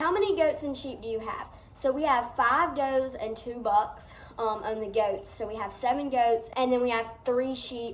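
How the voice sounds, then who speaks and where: Amid noticeable background noise and audible room echo, a woman with a high voice speaks at a moderate pace with lively intonation. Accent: Southern US. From US South. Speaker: farm vlogger. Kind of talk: Q&A vlog. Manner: casual.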